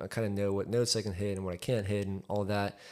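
With a plain, everyday voice, a man speaks at a fairly quick pace and fairly low pitch in a very clean recording with a silent background. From Texas, raised in Highland Park from age four. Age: 20s. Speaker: architect and musician. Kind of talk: casual chat.

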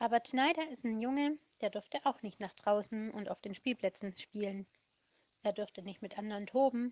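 A woman with a plain, everyday voice, pitched fairly high, talks at a moderate pace with ordinary pitch variation. The sound is dry and close, with no echo. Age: 30s. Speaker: children's home worker telling stories. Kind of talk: storytelling for children. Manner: warm, simple explanatory.

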